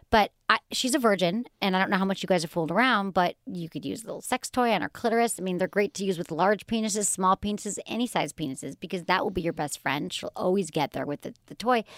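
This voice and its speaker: In a very clean, dry, close recording with a silent background and no echo, a woman talks very fast at a medium pitch with ordinary pitch variation and hardly any pauses. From Michigan, US. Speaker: sex and relationships podcast host. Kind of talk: casual chat.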